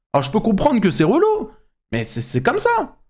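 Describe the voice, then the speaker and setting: Fairly quick male speech marked by very wide pitch swings. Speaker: YouTuber and streamer. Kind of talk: reaction commentary. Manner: loud; animated.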